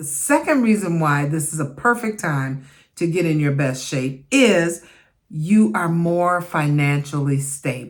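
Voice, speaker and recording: A woman's fairly slow delivery with very wide pitch swings. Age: 60s. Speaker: midlife fitness vlogger. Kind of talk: casual talk to camera.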